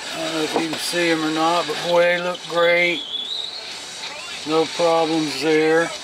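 A man speaks in a high voice over noticeable background noise. The sound is dry, with no echo. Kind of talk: tutorial. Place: workshop. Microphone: phone near.

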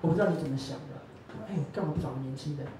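Over light background noise and with audible room echo, a man speaks at a fairly quick pace and fairly high pitch. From Taiwan. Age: 20s. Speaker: young rice farmer and PhD candidate; candidate. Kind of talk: public talk. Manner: animated. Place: cafe.

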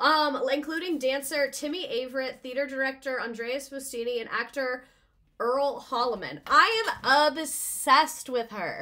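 Raised and projected, a woman's high-pitched voice has a bright, sharp tone and an animated delivery. She talks at a fairly slow pace with ordinary pitch variation against a quiet background. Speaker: livestream host presenting a history topic. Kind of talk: casual livestream presentation with slides. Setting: live stream with viewer chat. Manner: animated, excitable. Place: home room.

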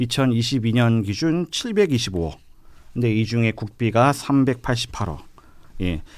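Intonation is lively, and the delivery keeps a moderate pace. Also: man, medium pitch for a man. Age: young. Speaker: young politician, local election candidate; young politician, election candidate. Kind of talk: radio panel discussion. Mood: earnest, policy-focused. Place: studio. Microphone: studio mic.

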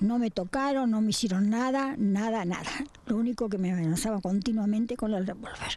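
A woman with a fairly high pitch and a dark, mellow tone talks at a fairly quick pace, her pitch varying in an ordinary way. The sound is dry with no echo, with light background noise. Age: 80s+. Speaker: robbery victim. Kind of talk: testimony. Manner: halting. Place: garden. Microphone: handheld.

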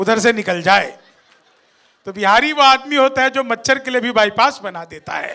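The raised, projected voice moves at a moderate pace with big swings in loudness against a quiet background. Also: man, extremely high pitch for a man, ordinary pitch variation. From Bihar, India. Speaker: comedic poet. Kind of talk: stand-up. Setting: stage with audience. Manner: animated. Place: stage. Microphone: handheld.

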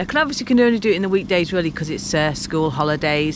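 Against noticeable background noise, a woman's fairly low voice shows ordinary pitch variation in a dry sound with no echo. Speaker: vlogger. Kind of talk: casual vlog chat. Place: waterside. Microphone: phone near.

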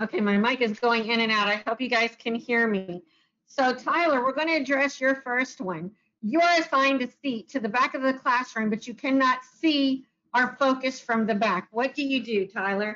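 A high-pitched woman's voice at a moderate pace with ordinary pitch variation. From US South. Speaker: director of a self-advocacy youth program; webinar moderator. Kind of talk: webinar presentation and moderated panel. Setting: video call. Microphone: video call.

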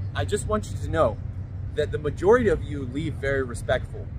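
Speaking at a fairly quick pace, a man sounds dry with no echo against noticeable background noise. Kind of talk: casual vlog chat. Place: street.

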